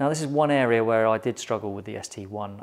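A man speaks at a medium pitch and a fairly quick pace, with vocal fry in his voice.

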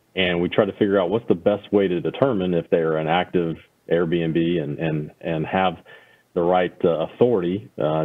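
With a very deep, low pitch and ordinary pitch variation, a man talks at a moderate pace over a quiet background. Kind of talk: meeting briefing. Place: office. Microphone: video call.

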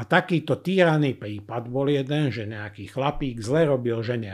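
The man's pace is moderate, and the background is quiet. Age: 50s. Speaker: former criminal profiler. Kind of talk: interview. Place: studio. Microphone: studio mic.

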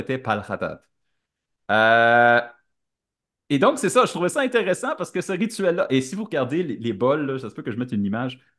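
Against a quiet background, a man with a Quebec accent speaks with lively intonation. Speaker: podcast co-host. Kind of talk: casual chat. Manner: halting, many hesitations.

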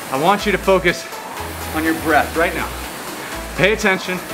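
Clear music plays in the background as the voice moves at a moderate pace with ordinary pitch variation. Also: man. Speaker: rowing coach. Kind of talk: workout coaching talk. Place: gym.

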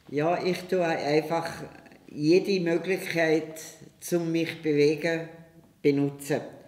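A woman speaks very slowly in a flat monotone, with long, frequent pauses and audible room echo. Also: fairly low pitch for a woman. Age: 80s+. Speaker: gymnastics teacher, founder of parent-child gymnastics. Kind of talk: interview answer. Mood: warm, cheerful. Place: home room.

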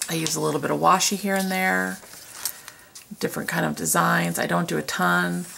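A quiet woman's voice at a moderate pace, with light background noise. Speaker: planner decorating vlogger. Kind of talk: casual talk to camera. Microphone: camera far.

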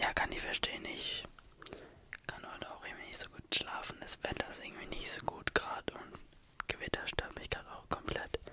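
Whispering at a moderate pace, a man lets his loudness swing widely. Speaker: ASMR creator. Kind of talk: soft ASMR roleplay chat. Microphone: studio mic.

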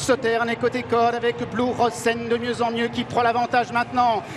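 Against noticeable background noise, a man speaks in a monotone, flat way at an extremely high pitch. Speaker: horse race commentator. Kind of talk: live horse race commentary. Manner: rising intensity toward the finish.

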